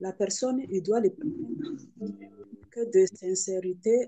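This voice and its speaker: A woman's voice, dark and mellow in tone. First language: not French (speaking French). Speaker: participant asking a question. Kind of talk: question to preacher. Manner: halting, stammering.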